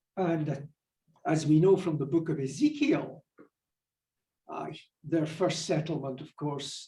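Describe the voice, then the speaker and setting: In a Scottish accent, a man talks at a fairly slow pace in a somewhat breathy voice. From Scotland. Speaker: minister and professor of religious studies. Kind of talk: lecture to church adult class.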